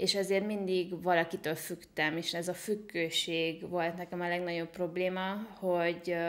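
With monotone, flat intonation, a woman talks at a fairly low pitch. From Hungary (small town). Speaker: online entrepreneur and IT consultant; podcast guest. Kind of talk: interview. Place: home room. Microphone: studio mic.

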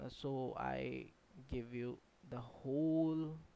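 A man with a non-native accent. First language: not English. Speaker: game developer YouTuber. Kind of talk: tutorial. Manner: halting.

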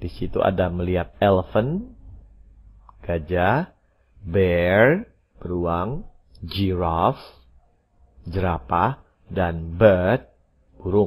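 A man speaks at a very slow pace with a very deep, low pitch and ordinary pitch variation. His loudness swings widely, and long, frequent pauses break up his speech. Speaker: English teacher. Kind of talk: language lesson.

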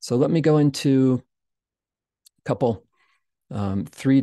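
Soft-spoken and dark, mellow in tone, a man talks at a fairly slow pace with lively intonation. The sound is dry with no echo, and the background is quiet. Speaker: podcast host and meditation teacher. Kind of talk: guided meditation with screen-share explanation. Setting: livestream screen share, self-recorded. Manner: calm, slow, soft-spoken; instructive, measured, explanatory. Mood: calm, gentle. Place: home room.

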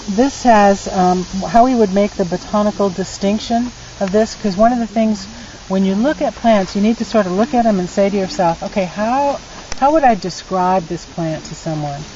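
A woman talks at a moderate pace with ordinary pitch variation. Light background noise can be heard. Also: dry sound with no echo. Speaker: herbalist guide. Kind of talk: outdoor teaching talk. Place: forest. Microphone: phone near.

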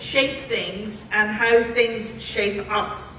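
A woman is heard with audible room echo. Light background noise runs underneath. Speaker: institute director introducing a lecture. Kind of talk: formal introduction speech. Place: hall.

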